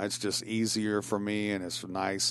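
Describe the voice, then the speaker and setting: A man's fairly low voice with a Tennessee accent, at a moderate pace, in a very clean recording with a silent background. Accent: Southern US (Tennessee). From Tennessee (Shelbyville, Bedford County). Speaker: guest on talk show, writer. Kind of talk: casual chat. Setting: studio.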